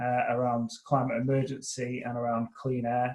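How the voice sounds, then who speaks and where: Somewhat breathy, a man speaks at a moderate pace in a medium pitch. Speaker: climate policy consultant. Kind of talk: webinar presentation. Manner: hesitant, many fillers and restarts.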